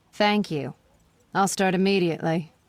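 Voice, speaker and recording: A female-sounding put-on character voice with a bored tone, medium pitch and a moderate pace. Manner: bored, flat.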